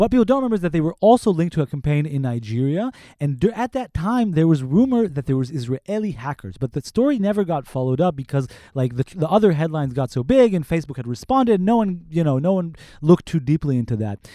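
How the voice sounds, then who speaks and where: Recorded very cleanly with a silent background and a dry, close sound with no echo, a man talks very fast at a fairly high pitch, his tone dark and mellow and his pitch swinging very widely. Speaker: investigative reporter. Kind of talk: interview. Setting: studio.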